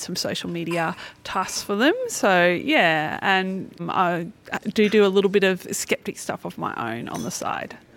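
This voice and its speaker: The speaker uses an Australian accent at a moderate pace with ordinary pitch variation. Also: woman. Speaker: skeptic activist. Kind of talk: interview. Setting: at a convention.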